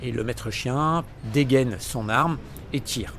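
Audible room echo colors a man's voice. He talks at a very slow pace with ordinary pitch variation. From eastern France, near Lyon (Vienne). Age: 60s. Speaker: community activist. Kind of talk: testimony. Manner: emphatic.

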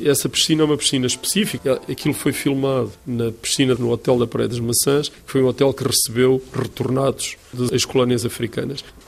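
A man at medium pitch, fairly quick and with hardly any pauses, fairly even intonation, and noticeable background noise. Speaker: art curator. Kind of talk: interview. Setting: art gallery.

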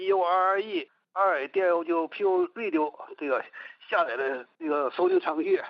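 A man is speaking. His pace is fairly slow. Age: 70s. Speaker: radio listener. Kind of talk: phone interview. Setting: phone call. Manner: halting.

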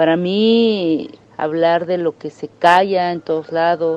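Noticeable background noise accompanies a woman speaking at a fairly low pitch. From Mexico, Oaxaca (Mixtec community). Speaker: film director. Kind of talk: interview.

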